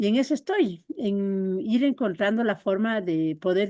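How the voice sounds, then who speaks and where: Her voice sits at a medium pitch with a dark, mellow tone and ordinary pitch variation. The woman speaks at a very slow pace against a quiet background. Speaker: workshop participant. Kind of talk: personal sharing in group talk. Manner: friendly, calm.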